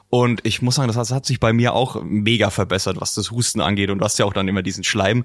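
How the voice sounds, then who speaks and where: A man at a very fast pace with hardly any pauses, fairly low pitch and ordinary pitch variation. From Franconia, Germany. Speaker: podcast host. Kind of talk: interview.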